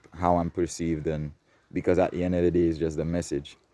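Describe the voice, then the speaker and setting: In a non-native accent, a man speaks fairly quickly with a dark, mellow tone and a very deep, low pitch. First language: not English. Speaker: spiritual vlogger. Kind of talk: casual monologue. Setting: outdoors in nature. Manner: projecting louder than usual.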